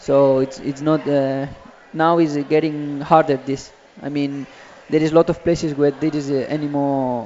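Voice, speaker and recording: This man has a fairly high pitch and a monotone, flat intonation. His pace is moderate. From Spain. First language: Spanish. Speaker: professional footballer. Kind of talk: interview. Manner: halting.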